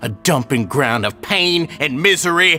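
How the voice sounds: A man's put-on character voice, fairly high in pitch and bright and sharp in tone, with lively intonation, a fairly slow pace and faint music in the background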